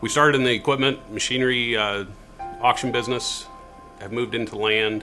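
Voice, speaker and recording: With music in the background, a man at a medium pitch talks at a fairly quick pace but leaves long, frequent pauses. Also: fairly even intonation. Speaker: auctioneer. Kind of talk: interview answer.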